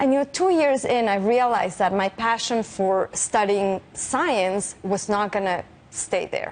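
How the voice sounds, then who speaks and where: A woman's fairly high, lively voice at a fairly slow pace, with very even loudness and noticeable background noise. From Mexico City. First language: Spanish. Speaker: physicist. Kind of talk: interview.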